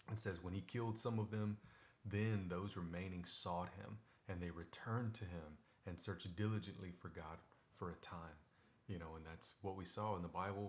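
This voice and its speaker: A man speaks in a very deep, low pitch. His voice is somewhat breathy, with fairly even intonation. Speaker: devotional video host. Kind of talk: casual Bible devotional talk. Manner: fast; conversational, many fillers.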